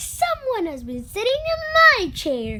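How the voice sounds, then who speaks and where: An extremely high, squeaky, put-on character voice speaks at a fairly slow pace. Loud background noise runs underneath. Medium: read story.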